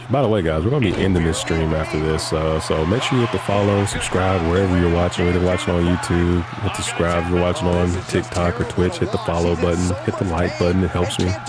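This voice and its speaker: With audible room echo and noticeable background noise, a man with a very deep, low pitch speaks at a very fast pace with hardly any pauses, very even loudness and fairly even intonation. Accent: American. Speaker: gaming streamer. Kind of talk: casual chat. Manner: whispering.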